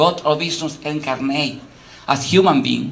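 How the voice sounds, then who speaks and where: A man speaks at a moderate pace in a fairly high voice for a man, with ordinary pitch variation, noticeable background noise and audible room echo. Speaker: academic lecturer. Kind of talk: lecture. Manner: halting, frequent fillers; animated.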